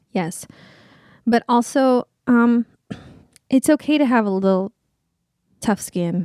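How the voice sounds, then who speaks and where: With a Californian accent, a woman speaks at a fairly high pitch in a dark, mellow tone, at a very slow pace with long, frequent pauses. The sound is dry and close, with no echo. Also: ordinary pitch variation. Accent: Californian American English. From Southern California. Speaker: Broadway performer. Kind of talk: casual chat.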